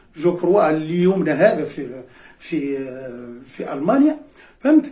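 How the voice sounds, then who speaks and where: A man with a Cap Bon accent speaks fairly slowly in a fairly high voice, with lively intonation and big swings in loudness. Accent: Tunisian Arabic, Cap Bon. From Tunisia, Beni Khiar (Nabeul). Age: 70s. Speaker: retired history and geography teacher, former club player. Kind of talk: reminiscing interview. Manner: hesitant, many fillers and repetitions.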